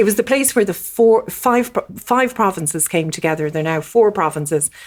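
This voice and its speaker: A woman with an Irish Midlands accent, at a moderate pace with lively intonation. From Ireland, County Westmeath. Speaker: diplomat. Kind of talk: podcast interview. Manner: halting, many fillers.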